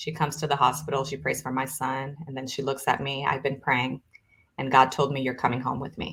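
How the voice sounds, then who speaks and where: Talking at a fairly quick pace, a woman has a very deep, low voice. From Brazil. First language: Portuguese. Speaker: author and business co-founder. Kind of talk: testimony. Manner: animated.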